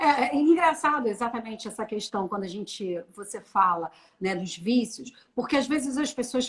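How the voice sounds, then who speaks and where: With an unremarkable speaking voice, a woman talks at a moderate pace in a fairly high pitch with lively intonation. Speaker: personal branding consultant. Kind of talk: live stream conversation.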